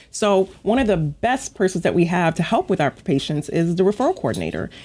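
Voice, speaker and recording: A woman with an American accent and a normal speaking voice talks at a medium pitch and a moderate pace, her intonation lively. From Long Island, New York. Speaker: physician, regional medical director. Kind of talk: radio interview.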